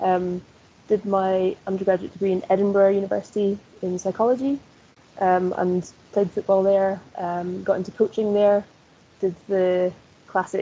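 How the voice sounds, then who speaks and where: A woman with a Scottish accent speaks at a moderate pace in a monotone, flat intonation. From northeast Scotland. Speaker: sports coaching lecturer. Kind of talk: interview.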